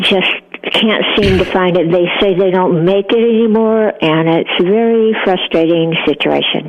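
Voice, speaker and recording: A woman's medium-pitched voice at a fairly slow pace, with fairly even intonation, very even loudness and noticeable background noise. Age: 80s+. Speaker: caller. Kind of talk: casual chat. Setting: phone call. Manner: halting.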